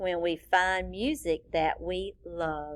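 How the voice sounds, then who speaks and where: A woman puts on a character voice, fairly low in pitch and delivered at a very slow pace. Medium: read story.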